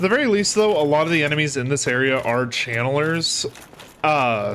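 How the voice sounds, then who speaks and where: Over noticeable background noise, a man with a fairly high voice sounds animated, his intonation lively. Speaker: gaming youtuber. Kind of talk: let's play commentary. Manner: loud; casual, animated.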